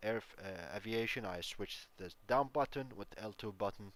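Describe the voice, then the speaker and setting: At a fairly slow pace, a man talks in a fairly low pitch with fairly even intonation. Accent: Arabic. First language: Arabic. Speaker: gaming YouTuber. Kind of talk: tutorial. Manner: halting, many fillers.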